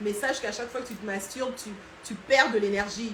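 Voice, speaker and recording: A woman's fairly high voice with a Congolese accent, ordinary pitch variation and a moderate pace, amid noticeable background noise and audible room echo. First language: Lingala (speaking French). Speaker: online culture and history educator. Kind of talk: live stream talk. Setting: Instagram live. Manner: hesitant, many fillers.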